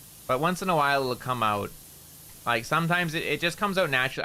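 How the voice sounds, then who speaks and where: The voice is loud and bright with a sharp tone, moving at a fairly quick pace with lively intonation. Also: man. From Canada. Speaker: VTuber streamer. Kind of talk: casual gaming livestream chat. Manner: loud, careful enunciation.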